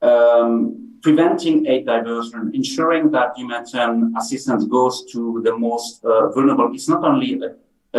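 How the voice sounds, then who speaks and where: A man speaks with a French accent. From France. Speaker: humanitarian policy expert. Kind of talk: panel discussion. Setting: video call on screen. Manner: halting, many repetitions.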